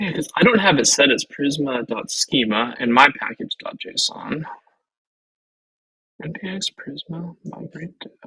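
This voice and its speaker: A man speaks at a fairly high pitch and a moderate pace, with very wide pitch swings and big swings in loudness. The sound is dry and close, with no echo. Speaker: web developer co-hosting a learning stream. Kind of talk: casual live coding session. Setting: live stream. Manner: mumbling while thinking.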